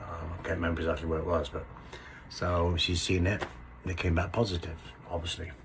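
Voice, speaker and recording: Amid noticeable background noise and audible room echo, a man with a very deep, low pitch speaks at a very fast pace in a monotone, flat intonation, leaving long, frequent pauses. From England, Somerset. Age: 60s. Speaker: construction worker sharing illness story. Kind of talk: personal storytelling to camera. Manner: hesitant, many fillers.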